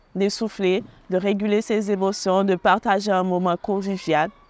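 The sound is dry, with no echo. A woman speaks at a fairly slow pace. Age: 20s. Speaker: student volunteer at a charity. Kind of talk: testimony. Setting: holiday centre on location. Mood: calm, warm. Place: open country.

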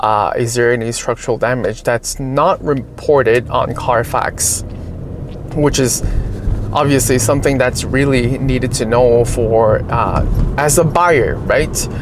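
At a fairly slow pace and very even loudness, the speech comes through with fairly even intonation and dry sound with no echo, over noticeable background noise. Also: man. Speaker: car channel host. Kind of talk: casual vlog chat. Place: car. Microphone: phone near.

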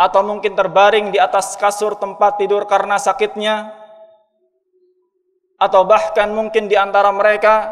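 A high-pitched man at a moderate pace against a quiet background. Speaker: preacher. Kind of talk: sermon. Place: church. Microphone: podium.

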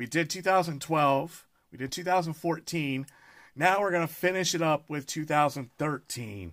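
A man's pitch varies in an ordinary way while the background stays quiet. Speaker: card collector streamer. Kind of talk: casual live stream chat. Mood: upbeat, excited. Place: home room.

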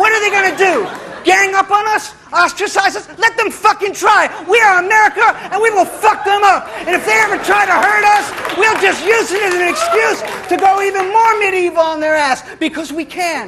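Over crowd noise in the background, a man with an extremely high pitch speaks at a moderate pace in a raised, projected voice, animated in tone with ordinary pitch variation. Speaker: spoken-word poet. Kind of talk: spoken-word poem performance, satirical. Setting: stage with live audience. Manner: animated, aggressive, mock-swaggering, sarcastic, punchy and rhythmic.

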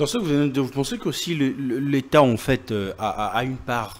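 Here a man talks at a fairly quick pace. His medium pitch shows ordinary variation.

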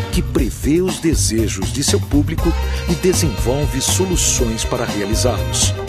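With music playing in the background, a man talks at a fairly slow pace, his pitch swinging very widely. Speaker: TV channel announcer. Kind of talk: TV commercial read.

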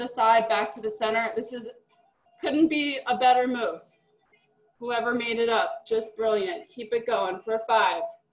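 A woman speaks at a moderate pace in a fairly high voice with ordinary pitch variation, with audible room echo and music playing in the background. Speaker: fitness instructor. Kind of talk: live group fitness class, cueing exercises. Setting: live class, video stream, gym. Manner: upbeat, encouraging. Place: home room. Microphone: webcam.

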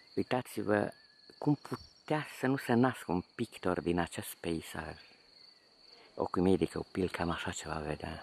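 A man speaks at a fairly slow pace in a very deep, low voice with lively intonation. The sound is dry with no echo, over light background noise. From Romania, Transylvania (Bistrița area village); Transylvania, Romania. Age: 50s. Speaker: painter. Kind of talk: video diary narration. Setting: outdoors. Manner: animated. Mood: nostalgic, warm. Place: open country. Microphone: phone near.

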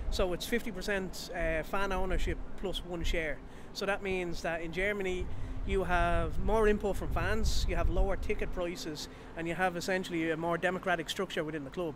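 A man with a Dublin accent speaks at a high pitch with fairly even intonation, the sound dry with no echo and noticeable background noise behind him. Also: moderate pace. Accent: Irish, Dublin. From Ireland. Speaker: football fan. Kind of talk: interview. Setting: outdoors. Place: street. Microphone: handheld.

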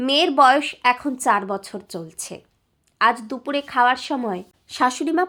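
A woman speaks in a raised, projected voice with a high pitch. Her tone is bright and sharp, and her intonation is lively. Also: very clean recording, silent background. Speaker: story narrator. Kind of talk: emotional audio story reading, first-person.

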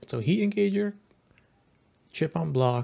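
A somewhat breathy male voice at a moderate pace, with very wide swings in pitch. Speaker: gaming YouTuber. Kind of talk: reaction and analysis commentary. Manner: casual, conversational, with filler words.

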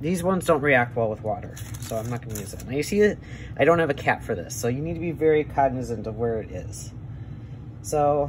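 A man speaks with an American accent at a moderate pace, his intonation lively. Noticeable background noise runs behind him. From Wisconsin, USA. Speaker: airbrush artist. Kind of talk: tutorial demonstration. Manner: casual, hesitant. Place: workshop.

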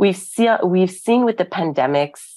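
Against a quiet background, a woman speaks at a moderate pace with a Canadian accent. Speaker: arts council executive; arts council director. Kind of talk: conference talk. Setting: video call. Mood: earnest, engaged. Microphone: earbuds.

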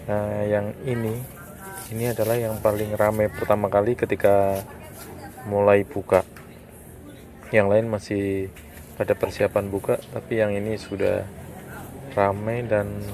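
A man's fairly low, monotone, flat voice at a fairly slow pace, with long, frequent pauses, dry sound with no echo, and light background noise. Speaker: food vlogger. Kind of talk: casual vlog commentary. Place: market. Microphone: phone near.

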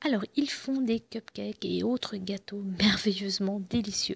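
A woman speaks at a moderate pace with vocal fry and a slightly husky edge. Her pitch sits in the medium range, with ordinary variation.

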